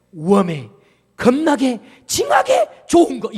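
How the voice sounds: Someone speaks at a fairly slow pace in a put-on character voice. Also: man, extremely high pitch for a man.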